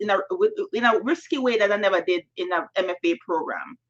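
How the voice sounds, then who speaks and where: A woman with a Jamaican accent speaks with ordinary pitch variation. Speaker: novelist. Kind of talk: panel Q&A answer. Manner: halting, many fillers.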